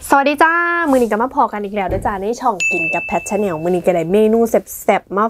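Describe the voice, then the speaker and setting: A woman speaking over music in the background. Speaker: food vlogger. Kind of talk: casual mukbang vlog chat. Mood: cheerful, friendly. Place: home room.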